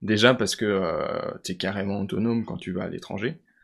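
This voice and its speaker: In a quiet background, a man with an ordinary speaking voice talks at a fairly low pitch, with ordinary pitch variation. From France, Vosges. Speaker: engineering student. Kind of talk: interview.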